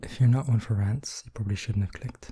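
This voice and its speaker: A soft-spoken man talks with a British accent in a fairly low, dark and mellow voice. He sounds somewhat breathy, with fairly even intonation. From England. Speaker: ASMR artist. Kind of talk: ASMR soft-spoken rant.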